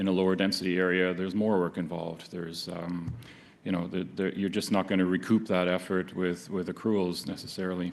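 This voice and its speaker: A man with a very deep, low pitch delivers his words at a fairly quick pace in a monotone, flat intonation. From not Canada. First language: not English. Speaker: medical oncologist. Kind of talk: conference talk. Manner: halting, many fillers.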